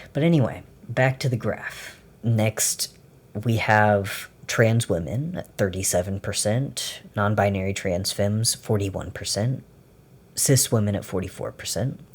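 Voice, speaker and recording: In a very clean recording with a silent background, a man speaks at a fairly slow pace. His voice is fairly low and somewhat breathy, with ordinary pitch variation. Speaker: video essayist. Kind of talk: unscripted commentary. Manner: stutters when escalated; animated.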